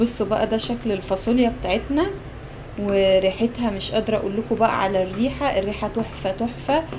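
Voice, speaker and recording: Over noticeable background noise, a woman with an Egyptian accent speaks at a moderate pace and a fairly high pitch. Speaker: cooking vlogger. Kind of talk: casual cooking vlog. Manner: animated.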